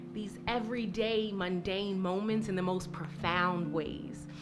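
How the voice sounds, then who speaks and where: Medium-pitched female voice with music in the background. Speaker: spoken word poet. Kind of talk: casual talk to a live audience between poems.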